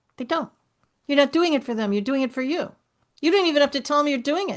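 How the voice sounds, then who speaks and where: A woman speaks in an animated tone with a New York accent against a quiet background. Her pitch sits high. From New York City. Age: 60s. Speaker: author and speaker, breast cancer survivor. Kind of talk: interview conversation.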